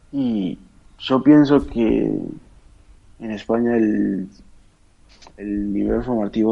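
Speaking at a very slow pace with long, frequent pauses, a man uses a fairly low pitch and fairly even intonation. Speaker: professional footballer. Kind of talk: interview.

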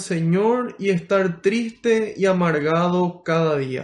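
This man speaks at a very slow pace with ordinary pitch variation. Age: 20s. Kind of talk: prayer and preaching.

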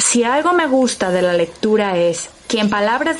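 Fairly slow speech from a woman amid noticeable background noise. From Mexico. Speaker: podcast host and narrator. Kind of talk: scripted narration.

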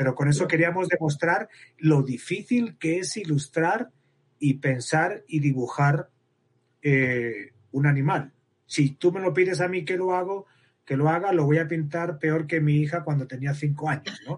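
Speaking at a fairly slow pace, a man uses a fairly high pitch. He has a Spanish accent and ordinary pitch variation. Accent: Spanish (Spain). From Spain, Madrid. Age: 50s. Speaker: biologist researcher. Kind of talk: interview.

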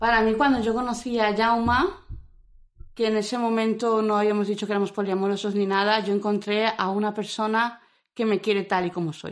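A woman talks in a normal speaking voice with a fairly high pitch. Her intonation is fairly even and her pace moderate. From Madrid. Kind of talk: interview.

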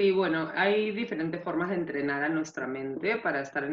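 A woman with a Peruvian accent speaks at a fairly low pitch. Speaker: nutritionist. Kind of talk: interview.

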